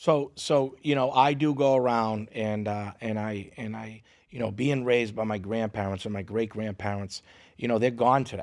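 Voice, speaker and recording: Someone with a strong Boston accent speaks at a moderate pace with ordinary pitch variation over a quiet background. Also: man, medium pitch for a man. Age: 40s. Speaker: comedian and social media content creator. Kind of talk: casual podcast interview. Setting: podcast studio.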